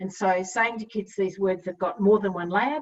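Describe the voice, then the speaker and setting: Against a quiet background, a woman talks at a moderate pace. She has an Australian accent and fairly even intonation. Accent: Australian, non-rhotic. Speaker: literacy educator. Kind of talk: webinar presentation. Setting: online webinar with chat. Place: home room. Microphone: webcam.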